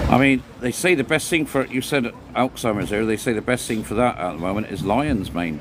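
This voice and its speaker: With an English accent, a man talks at medium pitch and moderate pace over noticeable background noise. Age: 60s. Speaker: livestream host. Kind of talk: casual chat.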